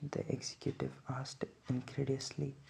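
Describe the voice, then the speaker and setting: Soft-spoken and somewhat breathy, a man talks at a medium pitch. His tone is dark and mellow, and his pace is moderate. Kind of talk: sleep book reading.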